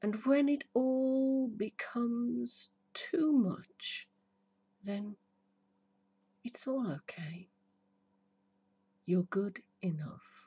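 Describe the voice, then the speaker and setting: A woman with a fairly high pitch speaks very slowly in a dark, mellow, soothing tone, with lively intonation. Her delivery has long, frequent pauses. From United Kingdom. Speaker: hypnotherapist. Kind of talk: poetry reading. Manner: slow, soothing. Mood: warm, soothing, upbeat. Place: garden. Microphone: phone near.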